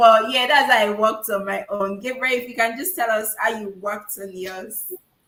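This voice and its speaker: A woman with an unremarkable speaking voice and fairly high pitch talks at a moderate pace, with ordinary pitch variation and big swings in loudness. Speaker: public speaking coach. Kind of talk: webinar Q&A. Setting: online webinar.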